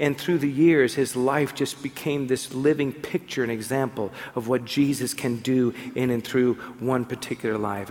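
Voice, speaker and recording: Noticeable background noise behind a man's voice, fairly high in pitch and moderate in pace. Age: 50s. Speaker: pastor. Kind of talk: sermon.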